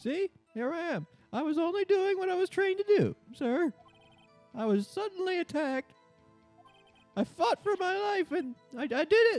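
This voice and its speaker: Faint music plays in the background as the speaker talks at a moderate pace. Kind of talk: comic overacting. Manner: loud, eager, says sir constantly.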